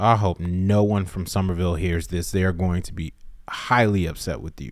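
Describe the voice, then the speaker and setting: In a very clean recording with a silent background, a man with a very deep, low pitch speaks at a moderate pace with an American accent and ordinary pitch variation. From US South, South Carolina. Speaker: podcast co-host. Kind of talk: casual chat.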